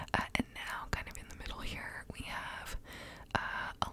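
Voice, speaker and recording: Whispering, a woman speaks at a fairly slow pace. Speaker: ASMR creator. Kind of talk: soft ASMR word repetition and explanation. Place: home room. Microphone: studio mic.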